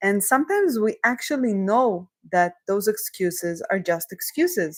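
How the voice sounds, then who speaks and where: Speaking at a fairly slow pace, a woman talks with a non-native accent. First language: not English. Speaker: career coach. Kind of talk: live coaching session. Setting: livestream.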